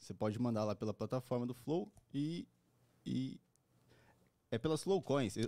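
A man's dark, mellow voice with lively intonation, long, frequent pauses and a moderate pace, against a quiet background. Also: dry sound with no echo. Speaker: podcast co-host. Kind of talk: casual chat. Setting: studio. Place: studio. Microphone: handheld.

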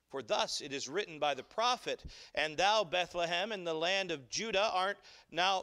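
In a bright, sharp tone, a man speaks at a moderate pace against a quiet background. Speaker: pastor. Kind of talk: sermon scripture reading. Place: church.

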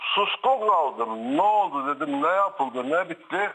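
A man projects a raised voice with a bright, sharp tone and high pitch, speaking very slowly. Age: 60s. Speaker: caller, brother of guest. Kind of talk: phone-in testimony.

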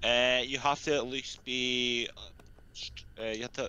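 A man's bright, sharp tone with fairly even intonation and a dry sound with no echo. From UK. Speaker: gamer. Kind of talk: casual chat. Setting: online voice chat. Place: home room. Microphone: headset.

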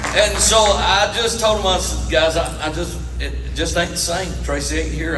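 A man talks at a moderate pace. Behind him, music plays. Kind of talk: storytelling stage talk to an audience. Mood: warm, humorous. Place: stage.

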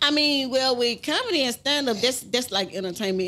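The intonation is lively. It belongs to a woman. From Baton Rouge, Louisiana; Louisiana. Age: 40s. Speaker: rapper's mother; podcast guest. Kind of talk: casual interview. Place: studio. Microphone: studio mic.

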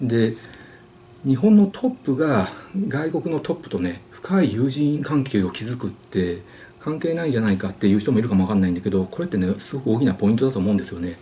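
A man talks at a very fast pace with very wide pitch swings. Light background noise sits behind him. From Japan. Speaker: YouTuber answering viewer questions. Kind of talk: casual monologue. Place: home room. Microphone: webcam.

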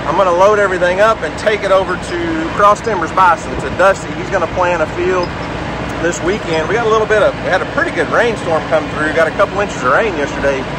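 Speech comes at a very fast pace with ordinary pitch variation. The sound is dry with no echo, set against loud background noise. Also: man. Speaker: homesteader vlogger. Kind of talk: casual vlog chat. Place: farm machine. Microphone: phone near.

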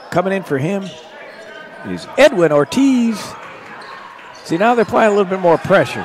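Amid noticeable background noise, a high-pitched man talks at a moderate pace with lively intonation and long, frequent pauses. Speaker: basketball commentator. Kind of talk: live sports commentary. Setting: gym, courtside broadcast.

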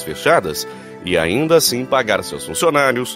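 A man talks with very wide pitch swings. Music can be heard in the background. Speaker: voice-over announcer. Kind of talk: reflective message narration.

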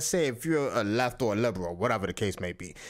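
A man talks at a fairly quick pace in an animated tone with very wide pitch swings. Vocal fry is present, and the background is quiet. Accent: strong Dominican. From Dominican Republic. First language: Spanish. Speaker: YouTube commentator. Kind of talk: reaction commentary. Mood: critical, opinionated. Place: home room.

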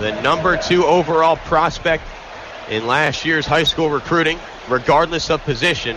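Noticeable background noise sits behind a man with a fairly high pitch. His pace is moderate and his pitch varies in an ordinary way. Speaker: aspiring sports broadcaster. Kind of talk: radio football play-by-play.

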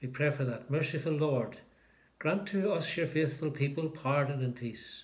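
A man's somewhat breathy voice moves at a moderate pace with ordinary pitch variation. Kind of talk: liturgical prayer and short talk. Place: home room. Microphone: phone near.

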